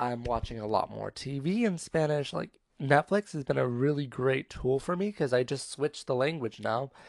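In a very clean recording with a silent background, a man with an American accent and a plain, everyday voice speaks at a moderate pace in a medium pitch with ordinary variation. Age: 20s. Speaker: podcaster. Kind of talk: casual monologue. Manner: casual, filler-heavy.

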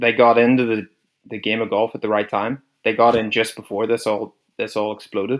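This voice has a Northern Irish accent and a monotone, flat intonation. It moves at a moderate pace. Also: man. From Northern Ireland. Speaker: podcast co-host. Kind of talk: casual chat.

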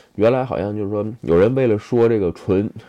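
The speaker is a man. His pitch is fairly low. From China. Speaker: video blogger. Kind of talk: casual monologue. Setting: handheld phone recording. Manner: hesitant, many fillers.

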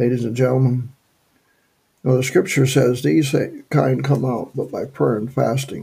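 A man with a dark, mellow tone and vocal fry speaks at medium pitch and a moderate pace. His intonation is fairly even, with long, frequent pauses. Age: 70s. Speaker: evangelist. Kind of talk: sermon. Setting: radio broadcast. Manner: halting.

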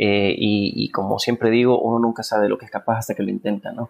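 A man with a Honduran accent and a medium pitch at a very fast pace. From Honduras. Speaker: film director and producer. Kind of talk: interview.

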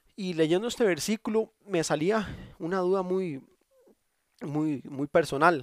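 A man with a Costa Rican accent speaks at a high pitch. He leaves long, frequent pauses, and the sound is dry and close with no echo. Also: ordinary pitch variation, fairly slow pace. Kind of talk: devotional monologue. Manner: halting.

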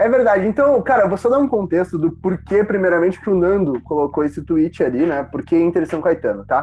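Speaking at a fairly quick pace with hardly any pauses, a man uses a high pitch, lively intonation and a dark, mellow tone. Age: 20s. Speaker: football podcast host. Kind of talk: casual chat.

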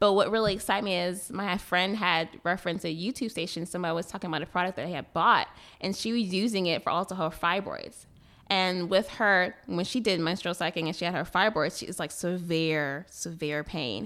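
Heard on a very clean recording with a silent background, a woman with a plain, everyday voice speaks at a medium pitch and a fairly quick pace with ordinary pitch variation. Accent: American. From Boston, Massachusetts. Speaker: skincare business owner. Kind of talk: casual radio interview. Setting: radio studio.

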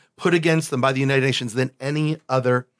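In a plain, everyday voice, a man with an American accent talks at a fairly quick pace and medium pitch with fairly even intonation, on a very clean recording with a silent background and a dry, close sound with no echo. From Buffalo, New York. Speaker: bishop. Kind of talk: casual chat.

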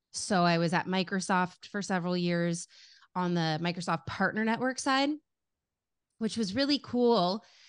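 A woman's animated, medium-pitched voice with an American accent, moderate pace and ordinary pitch variation, against a quiet background. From US West Coast, Los Angeles. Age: 30s. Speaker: marketing executive. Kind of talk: interview. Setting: video call.

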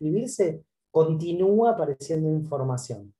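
A man speaks with lively intonation at a moderate pace. His pitch is fairly high, and his tone is dark and mellow. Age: 50s. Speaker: author and publicist. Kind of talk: interview about his book.

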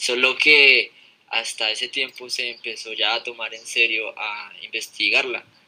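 Over noticeable background noise, a man talks at a fairly slow pace, his loudness swinging widely. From Colombia, Fusagasugá. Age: 20s. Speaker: podcast guest. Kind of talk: casual chat. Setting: live stream.

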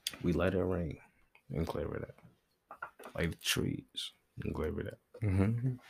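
With a very deep, low pitch and ordinary pitch variation, a man speaks at a fairly slow pace with long, frequent pauses. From New York, Brooklyn. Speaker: podcast host. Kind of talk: casual chat. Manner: animated.

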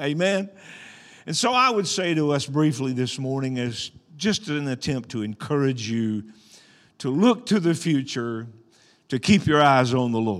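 Speaking at a fairly slow pace with long, frequent pauses, a man with an Arkansas accent uses lively intonation and a fairly high pitch. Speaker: pastor. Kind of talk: sermon. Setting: church. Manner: animated.

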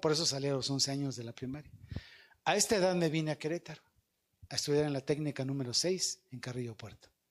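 On a very clean recording with a silent background, a man with a Mexican accent speaks at a fairly quick pace in a fairly high pitch, with ordinary pitch variation. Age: 50s. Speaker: evangelist speaker. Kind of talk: sermon.

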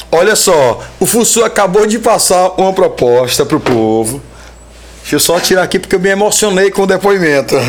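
A man speaks at a fairly quick pace in a high pitch, his animated tone and lively intonation held at very even loudness against noticeable background noise. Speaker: podcast host. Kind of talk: casual chat.

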